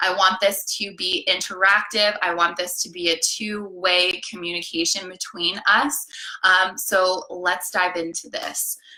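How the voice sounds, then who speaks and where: A woman's medium-pitched, monotone, flat delivery at a fairly slow pace, over noticeable background noise. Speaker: life coach. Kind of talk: live coaching session. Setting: live stream.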